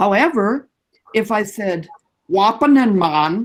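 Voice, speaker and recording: Her accent is American. The woman's intonation is lively. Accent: Canadian English with some American. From Canada. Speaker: guest speaker on English language. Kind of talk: lecture.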